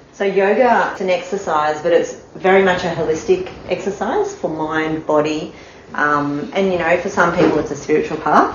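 Amid noticeable background noise and audible room echo, a woman talks at a moderate pace with a fairly low pitch and ordinary pitch variation. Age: 40s. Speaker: yoga instructor. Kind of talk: casual explanation of yoga. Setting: home yoga studio.

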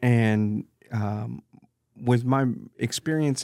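The recording is very clean, with a silent background and a dry, close sound with no echo. A man speaks with fairly even intonation. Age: 50s. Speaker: business owner. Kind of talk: casual interview chat. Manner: halting, many fillers and repetitions.

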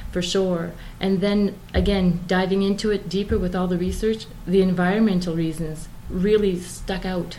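A woman of medium pitch talks at a moderate pace in a monotone, flat intonation, with audible room echo and noticeable background noise. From Moncton, New Brunswick, Canada. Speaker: vegan interviewee. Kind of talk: casual interview.

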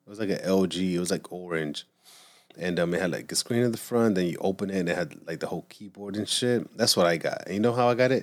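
A man's very deep, low voice at a very fast pace. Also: ordinary pitch variation. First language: not English. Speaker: podcast host. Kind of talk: casual chat. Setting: home studio. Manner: animated; halting.

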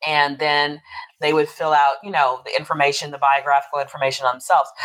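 A woman speaking at a fairly quick pace. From Texas and Louisiana (US South). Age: 50s. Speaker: poet and podcast host. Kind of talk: interview conversation.

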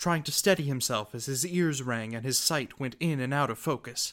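In a dramatic, intense tone, a man speaks at a fairly high pitch and a moderate pace. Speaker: podcast host and narrator. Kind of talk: scripted fiction narration, fairy-tale mythic storytelling. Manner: dramatic, vivid, grim and intense; measured, storyteller pacing.

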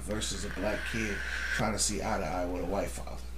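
A man with an American accent, audible room echo and noticeable background noise. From Holland, Michigan (US Midwest). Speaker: wrestling fan guest. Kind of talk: casual chat.

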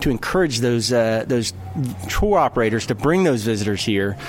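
There is noticeable background noise behind this man. He talks at a moderate pace in an American accent with lively intonation. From North Carolina. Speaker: tourism official. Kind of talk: casual interview.

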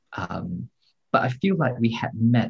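A man's somewhat breathy voice at a medium pitch and a fairly slow pace. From Singapore. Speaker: translator and novelist. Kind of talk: interview conversation.

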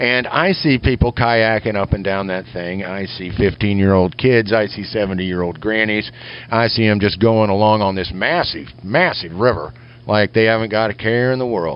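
In a plain, everyday voice, a man speaks at a moderate pace with a fairly low pitch and ordinary pitch variation. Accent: American. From Kansas. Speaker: lure maker and show correspondent. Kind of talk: recorded voice message. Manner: folksy, jokey.

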